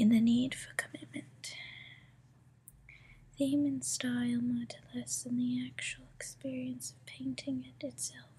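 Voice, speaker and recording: A soft-spoken whisper at a fairly slow pace. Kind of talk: ASMR book reading. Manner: soft, whispered.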